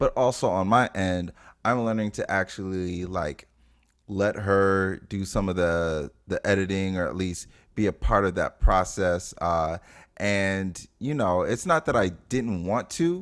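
A man's very deep, low voice at a fairly slow pace. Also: ordinary pitch variation, very clean recording, silent background. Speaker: podcast co-host. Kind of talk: casual chat. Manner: chill, laid-back.

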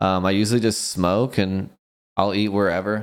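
A man's fairly low voice moves at a moderate pace on a very clean recording with a silent background. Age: 30s. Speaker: electronic music DJ and producer. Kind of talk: casual interview.

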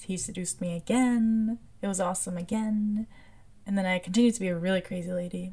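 The tone is dark and mellow, somewhat breathy, with fairly even intonation. The pace is very fast. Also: woman, medium pitch for a woman. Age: 20s. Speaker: podcast host. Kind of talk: personal monologue.

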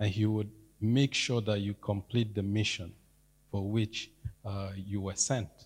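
With long, frequent pauses, a man speaks at a fairly slow pace in a somewhat breathy, fairly low voice and monotone, flat intonation. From Nigeria. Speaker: church member. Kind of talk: testimony. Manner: halting.

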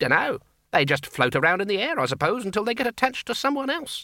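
In a put-on character voice, a man speaks fast at a high pitch, with big pitch swings and a bright, sharp tone.

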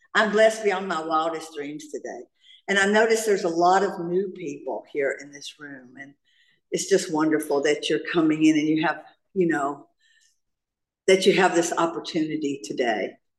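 A woman speaks with a Southern US accent at a fairly low pitch. Her loudness swings widely. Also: ordinary pitch variation, moderate pace. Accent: Southern US, noticeable. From US South (North Carolina). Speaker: recovering alcoholic speaker. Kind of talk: AA share/testimony. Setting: stage with audience at meeting.

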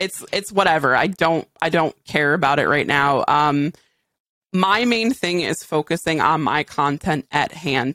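A woman's very deep, low voice with a bright, sharp tone and an American accent, at a fairly slow pace, with ordinary pitch variation, very even loudness, and a dry, close sound with no echo on a very clean recording with a silent background. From Western Massachusetts. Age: 30s. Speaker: gaming streamer. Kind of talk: casual chat.

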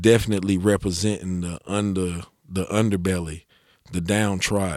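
This man's voice is very deep and low. His intonation is fairly even. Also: very clean recording, silent background. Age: 40s. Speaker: rapper. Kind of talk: casual chat. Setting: studio.

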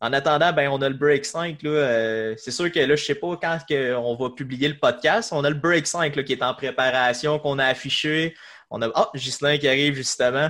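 The tone is bright and sharp, with fairly even intonation. It comes from a very clean recording with a silent background. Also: man, fairly high pitch for a man, moderate pace. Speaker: podcast host. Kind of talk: casual chat.

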